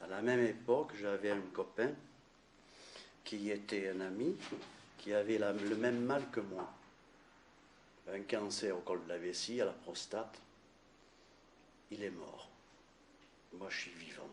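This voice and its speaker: A man with a fairly low pitch speaks at a very slow pace. His intonation is fairly even, broken by long, frequent pauses. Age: 60s. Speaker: cancer survivor giving testimony. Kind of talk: testimony. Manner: halting.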